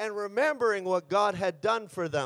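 A man talks in an animated tone, with a dry, close sound and no echo. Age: 50s. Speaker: pastor. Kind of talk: sermon.

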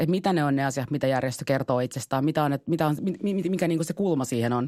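A woman's very deep, low voice at a very fast pace, with ordinary pitch variation, in a very clean recording with a silent background and a dry, close sound with no echo. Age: 30s. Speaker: city councillor and party vice-chair. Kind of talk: casual chat. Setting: studio.

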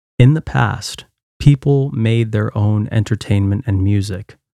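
The recording is very clean, with a silent background and a dry, close sound with no echo. A man speaks fairly slowly in a fairly low, dark, mellow tone with fairly even intonation. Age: 30s. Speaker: podcast host and songwriter. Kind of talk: scripted narration.

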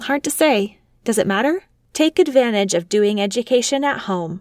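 A woman's fairly high voice with lively intonation, a plain, everyday voice at a moderate pace, dry and close with no echo, on a very clean recording against a silent background. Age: 30s. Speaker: podcast host and homeschooling mother. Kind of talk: scripted narration. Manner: formal.

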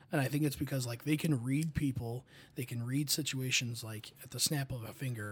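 Somewhat breathy, a man speaks at a moderate pace. His intonation is fairly even. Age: 20s. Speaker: college staff member. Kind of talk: casual chat.

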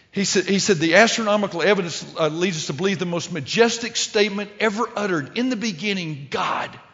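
Speaking fairly quickly with a Texan accent, a man uses ordinary pitch variation. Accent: Texan Southern US. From Texas. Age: 60s. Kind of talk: sermon.

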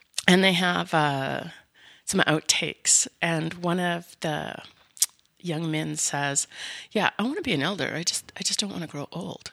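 Speaking at a fairly slow pace with a Canadian accent, a woman with a fairly low pitch and ordinary pitch variation has a bright, sharp tone and vocal fry, recorded dry and close with no echo. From Canada, mostly Winnipeg. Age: 50s. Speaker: seniors advocate, business owner. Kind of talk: interview.

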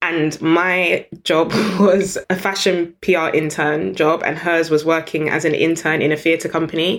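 A woman speaks fairly slowly at a fairly low pitch, her intonation monotone and flat and her loudness very even, in a very clean recording with a silent background. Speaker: business founder and CEO. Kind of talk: interview conversation.

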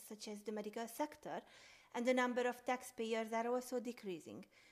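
At a fairly quick pace, a woman with a high voice speaks with a Hungarian accent. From Hungary. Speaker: sociology student. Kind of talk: scripted academic podcast.

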